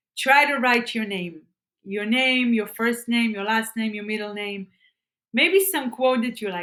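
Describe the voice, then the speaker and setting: Bright and sharp in tone, a woman sounds enthusiastic, her fairly high voice moving with ordinary pitch variation. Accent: Israeli. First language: Hebrew. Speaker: self-improvement vlogger. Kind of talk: tutorial. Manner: halting, repeats words.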